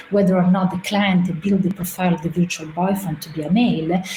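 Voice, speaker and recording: A woman with an Italian accent speaks at a medium pitch with ordinary pitch variation, and there is noticeable background noise. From Italy. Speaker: artist and researcher. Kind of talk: presentation. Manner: hesitant, many filler sounds.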